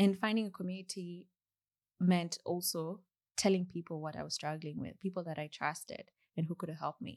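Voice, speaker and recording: A woman with a Kenyan accent talks at a fairly quick pace with fairly even intonation. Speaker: software engineer. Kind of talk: casual interview. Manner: soft-spoken.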